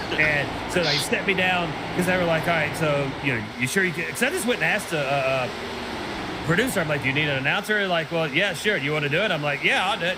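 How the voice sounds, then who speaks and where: A man in a Southern accent at a very fast pace with a fairly high pitch and an animated tone, audible room echo and noticeable background noise around him. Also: ordinary pitch variation. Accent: Southern, denies it is thick. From Tennessee, Nashville. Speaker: sim racing commentator. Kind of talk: live commentary.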